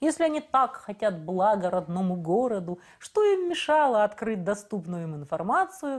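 In a quiet background, a woman talks at a moderate pace with very wide pitch swings. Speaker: interview guest, local politician. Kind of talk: interview answer. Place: studio. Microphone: lapel.

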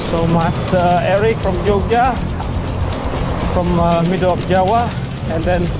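Music plays in the background. The speech moves at a moderate pace. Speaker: cyclist vlogger. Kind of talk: casual vlog chat. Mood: relaxed, halting. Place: bicycle. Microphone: phone near.

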